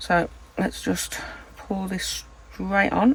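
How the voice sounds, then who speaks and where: Soft-spoken and with a British accent, a woman talks at a fairly slow pace over noticeable background noise. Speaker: resin crafter, channel host. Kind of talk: tutorial. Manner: soft-spoken, quiet. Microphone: no external mic, too quiet.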